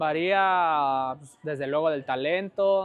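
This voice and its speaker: The man's fairly even intonation comes through in a dry sound with no echo. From Mexico, Guadalajara; Jalisco, Mexico. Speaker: professional footballer; interview guest. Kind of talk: casual interview. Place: home room. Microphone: lapel.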